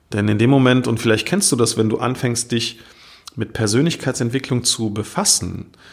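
In a very clean recording with a silent background, a man's medium-pitched voice shows ordinary pitch variation. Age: 40s. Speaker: podcast host and mindset coach. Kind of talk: motivational monologue. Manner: animated.

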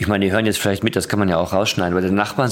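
This man's voice sits at a fairly low pitch. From Ruhr area, Germany. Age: young. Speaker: podcast host. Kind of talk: casual interview. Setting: studio.

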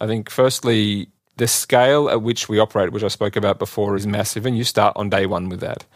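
On a very clean recording with a silent background, a man with an Australian accent speaks very fast, his fairly low voice keeping a fairly even intonation. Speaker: telecom executive. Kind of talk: interview.

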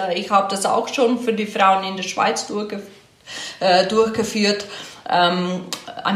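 Audible room echo and noticeable background noise surround a woman's voice. She speaks at a fairly slow pace, medium in pitch with ordinary pitch variation. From Slovenia. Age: 40s. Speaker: offroad rally co-driver. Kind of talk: interview.

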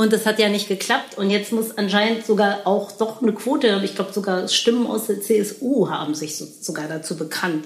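Moderate-paced speech with hardly any pauses and ordinary pitch variation over noticeable background noise. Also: woman, medium pitch for a woman. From Berlin. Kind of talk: casual chat.

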